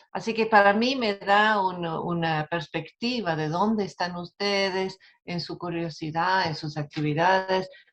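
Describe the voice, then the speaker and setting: A woman at a medium pitch speaks with hardly any pauses. Her pitch variation is ordinary. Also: fairly slow pace. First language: not Spanish (Spanish is her second language) (speaking Spanish). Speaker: academic speaker. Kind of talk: webinar lecture. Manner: halting, stumbles over words.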